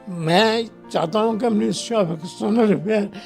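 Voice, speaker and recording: A man speaks with lively intonation over music in the background. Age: 80s+. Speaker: retired army officer, war veteran. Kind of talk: emotional public appeal, interview answer.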